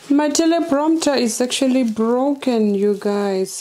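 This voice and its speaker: With lively intonation, a woman talks at a very slow pace. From Namibia. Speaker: faith-based content creator. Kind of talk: unboxing vlog. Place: home room. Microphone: lapel.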